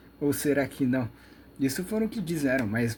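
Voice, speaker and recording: Here a man talks at a fairly quick pace. His voice is somewhat breathy. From Brazil. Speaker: YouTube lecturer on metaphysics. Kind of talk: monologue lecture. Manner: fast; rambling, with many fillers.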